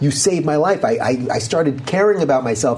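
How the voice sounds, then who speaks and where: Speaking at a fairly quick pace, a man is heard against noticeable background noise. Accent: American. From New York, Long Island. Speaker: political talk show host. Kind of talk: interview conversation.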